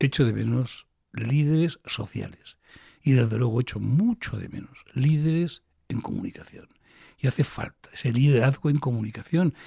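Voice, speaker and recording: A man speaks at a medium pitch and a moderate pace, his voice somewhat breathy with a dark, mellow tone. His pitch varies in an ordinary way, and the sound is dry and close with no echo. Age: 60s. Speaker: physician and health education professor. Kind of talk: interview. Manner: animated.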